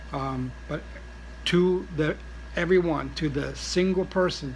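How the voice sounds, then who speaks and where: A man's voice with audible room echo. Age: 60s. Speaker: vlogger, traveller with cancer. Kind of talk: casual vlog monologue. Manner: halting, many fillers.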